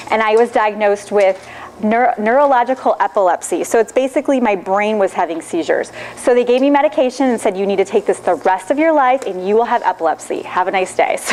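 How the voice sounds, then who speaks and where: Noticeable background noise sits behind a woman with a Michigan accent. She talks very fast with a fairly high pitch and lively intonation. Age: 30s. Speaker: nutrition consultant. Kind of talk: lecture.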